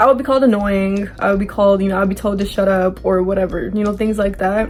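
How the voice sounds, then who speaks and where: Very fast talk with fairly even intonation over music in the background. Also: woman, medium pitch for a woman. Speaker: vlogger. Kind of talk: personal vlog talk. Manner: monotone; halting with many fillers.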